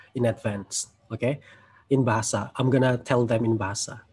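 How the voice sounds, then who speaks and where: In an Indonesian accent, the speaker sounds somewhat breathy, with monotone, flat intonation. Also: man. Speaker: webinar host and language tutor; webinar host, language tutor. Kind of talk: webinar moderation. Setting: video call. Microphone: video call.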